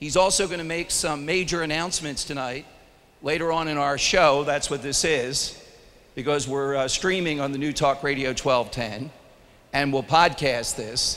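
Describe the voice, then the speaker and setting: A man's fairly high voice at a moderate pace, with audible room echo. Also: ordinary pitch variation. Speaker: radio talk show host. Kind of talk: live event hosting. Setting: stage with audience. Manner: loud.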